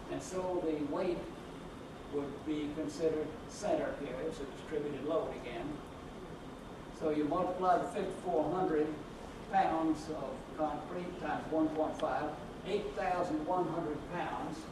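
Noticeable background noise and audible room echo surround this man's voice. He speaks at a very slow pace with long, frequent pauses. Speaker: presenter. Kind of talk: lecture. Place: hall.

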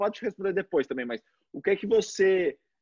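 Against a quiet background, a man is speaking. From Brazil. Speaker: video channel host, copywriter; video channel host. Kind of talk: casual interview. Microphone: video call.

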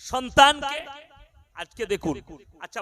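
A man is talking here. His tone is animated. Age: 30s. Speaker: Islamic preacher. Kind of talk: sermon.

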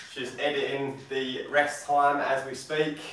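A man's fairly high voice in monotone, flat intonation, with audible room echo and light background noise. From UK. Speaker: fitness co-instructor; fitness trainer. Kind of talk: live workout coaching. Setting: live stream from a home workout room. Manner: relaxed, jokey banter. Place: home room.

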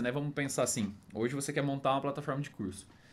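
Here a man is speaking. His pitch is fairly high. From Ribeirão Preto, São Paulo interior, Brazil; São Paulo, Brazil. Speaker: marketing specialist; guest. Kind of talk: casual interview. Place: studio. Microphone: studio mic.

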